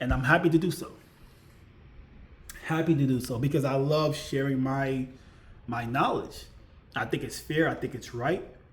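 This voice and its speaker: Audible room echo surrounds a man with a fairly high pitch and a somewhat breathy voice. He keeps a moderate pace and fairly even intonation, with long, frequent pauses. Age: 40s. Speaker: YouTuber, IT support worker. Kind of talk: casual vlog monologue. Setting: at home. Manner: repetitive, conversational.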